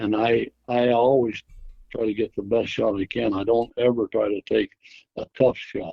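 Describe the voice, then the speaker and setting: A man's medium-pitched voice in a monotone, flat intonation at a moderate pace. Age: 70s. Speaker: handgun hunter. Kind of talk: interview. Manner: halting.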